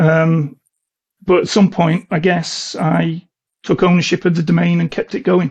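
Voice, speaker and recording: This man's voice sits at a fairly high pitch. Vocal fry runs through it. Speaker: cybersecurity consultant, ethical hacker. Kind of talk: podcast interview. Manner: monotone.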